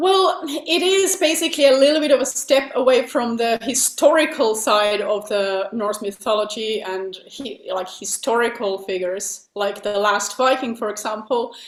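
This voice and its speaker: With a Finnish accent and a fairly high pitch, a woman talks with lively intonation and hardly any pauses over noticeable background noise. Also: moderate pace. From Finland. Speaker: metal singer. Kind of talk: interview.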